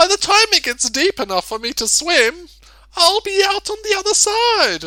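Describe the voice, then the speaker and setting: In a put-on character voice, the speaker squeaks along at a moderate pace with an extremely high pitch. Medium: read story. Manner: mournful, sighing.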